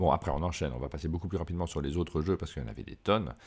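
A man speaks with a very deep, low pitch, a dark, mellow tone and vocal fry. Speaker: board game podcast host. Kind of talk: casual chat. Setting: trade fair, travel setup.

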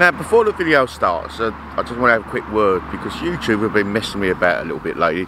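A man's voice with very wide pitch swings, dry sound with no echo and light background noise. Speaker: vlogger landowner. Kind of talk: casual vlog chat. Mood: slightly aggrieved then upbeat. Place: open country. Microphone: phone near.

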